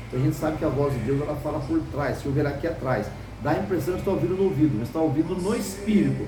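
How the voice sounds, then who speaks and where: Man's fairly high voice with ordinary pitch variation, audible room echo and noticeable background noise. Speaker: preacher. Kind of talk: sermon. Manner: fast.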